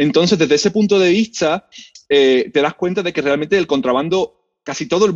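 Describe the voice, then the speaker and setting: With an ordinary speaking voice, a man talks at a fairly quick pace with lively intonation, in a dry, close sound with no echo. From Spain, Seville. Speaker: history professor. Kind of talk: interview.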